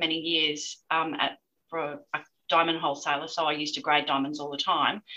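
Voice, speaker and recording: A woman speaks with an Australian accent. Her tone is bright and sharp. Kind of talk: interview. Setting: remote call.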